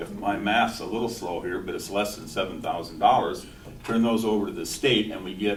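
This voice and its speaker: Over noticeable background noise and audible room echo, a man speaks at a fairly quick pace. His pitch is fairly low. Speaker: city human rights commissioner. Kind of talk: heated debate. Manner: loud.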